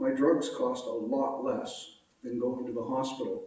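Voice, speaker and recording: A man with a Maritime Canadian accent talks at a moderate pace, his pitch swinging very widely. Audible room echo surrounds his voice. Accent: Canadian (Maritimes). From Nova Scotia, Canada. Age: 60s. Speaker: patient advocate. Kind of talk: public talk. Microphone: echo in room.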